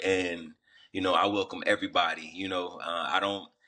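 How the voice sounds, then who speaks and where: A man speaks at a moderate pace in a fairly low pitch, his tone bright and sharp, with a slight Southern US accent. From US South, Atlanta, Georgia. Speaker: rapper and runner. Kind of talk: podcast interview. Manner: casual, filler-heavy.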